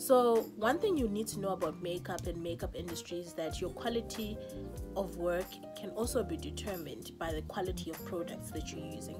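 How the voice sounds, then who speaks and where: A woman talks at a fairly quick pace. Clear music plays behind her. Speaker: makeup artist. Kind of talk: casual talk to camera. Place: home room. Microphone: phone near.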